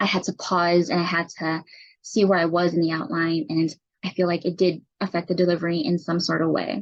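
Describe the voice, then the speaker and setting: Quiet speech at a fairly quick pace. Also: woman. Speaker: student, army medic. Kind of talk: class presentation. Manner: raised pitch to project.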